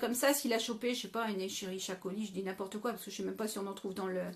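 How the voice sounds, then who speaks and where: This woman speaks with ordinary pitch variation. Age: 40s. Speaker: live stream host on health and food. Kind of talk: live stream Q&A. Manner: hesitant, many fillers.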